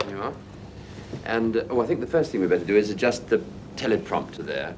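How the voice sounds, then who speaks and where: A man's medium-pitched voice at a fairly quick pace, lively in intonation, with big swings in loudness, long, frequent pauses and noticeable background noise. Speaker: newsreader. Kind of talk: casual explanation.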